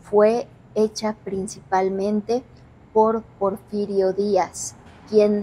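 In a monotone with flat intonation, a woman speaks at a very slow pace. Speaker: paranormal investigator host. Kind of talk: presenter commentary. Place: hall. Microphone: lapel.

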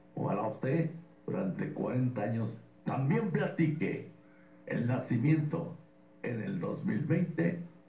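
Audible room echo carries a man's fairly high voice as he talks at a very slow pace with lively intonation and long, frequent pauses. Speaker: radio sports host. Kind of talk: radio sports broadcast talk. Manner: emotional, nostalgic, addressing listeners. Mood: passionate, nostalgic. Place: studio.

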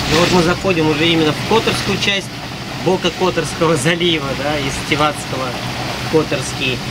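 The background noise is loud. A man talks at a moderate speed over it. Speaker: sailor vlogger. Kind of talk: casual vlog chat. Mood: relaxed, cheerful. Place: boat. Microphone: camera far.

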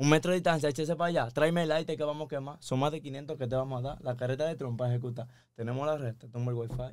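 A man at a very fast pace, fairly high-pitched, with fairly even intonation. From Dominican Republic. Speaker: musician; guest. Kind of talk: casual chat. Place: studio. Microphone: studio mic.

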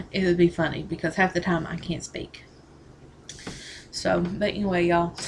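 Over light background noise, a woman speaks with a Southern US accent. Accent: Southern American. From Southern US, Tennessee. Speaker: vlogger. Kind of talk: casual talk to camera. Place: home room. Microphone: webcam.

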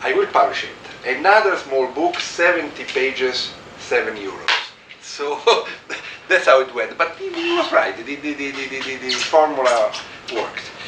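A man speaks fairly slowly, and there is noticeable background noise. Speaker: guest lecturer. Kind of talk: lecture. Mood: relaxed, anecdotal, laughs. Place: office. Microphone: camera far.

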